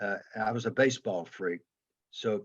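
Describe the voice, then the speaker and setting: A man with a Southern accent, fairly low pitch, fairly even intonation and a moderate pace. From US South, Atlanta, Georgia. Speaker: former football player and coach. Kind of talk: interview.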